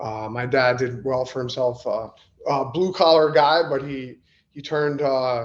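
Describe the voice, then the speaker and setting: This man has a New York accent and a medium pitch. He speaks at a fairly slow pace with fairly even intonation. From Long Island, New York. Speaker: professional MMA fighter. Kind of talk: podcast interview. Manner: hesitant, many fillers.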